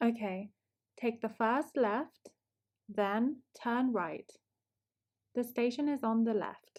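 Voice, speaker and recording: A very slow delivery in a British accent, with long, frequent pauses, ordinary pitch variation and very even loudness. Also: woman, fairly high pitch for a woman. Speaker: English teacher. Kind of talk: language lesson shadowing dialogue. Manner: slow, clear.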